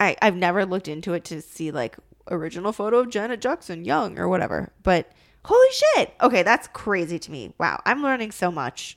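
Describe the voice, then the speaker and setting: Fairly quick delivery with lively intonation, vocal fry, and big swings in loudness. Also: woman, medium pitch for a woman. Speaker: podcast co-host. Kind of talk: casual chat. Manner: fast talker; excitable.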